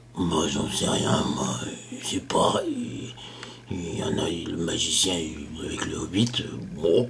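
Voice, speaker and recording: A man whispers in a put-on character voice. His pace is fairly slow. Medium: read story. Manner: gruff, hesitant, blunt.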